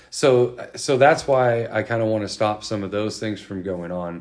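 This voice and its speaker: Here a man speaks with a Californian accent at a moderate pace. His voice is fairly low, with ordinary pitch variation. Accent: Californian American. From California Central Valley (Modesto). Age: 40s. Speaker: state senate candidate, military veteran. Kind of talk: interview. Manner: halting.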